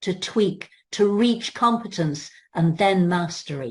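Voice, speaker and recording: A woman speaks fairly slowly at a medium pitch, somewhat breathy. Her intonation is lively over a quiet background. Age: 70s. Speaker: yoga business coach. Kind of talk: webinar coaching talk.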